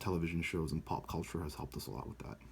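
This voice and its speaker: A man talks in a very deep, low register with vocal fry. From United States, born in Brazil. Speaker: student. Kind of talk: video blog answering class questions. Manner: casual with many fillers.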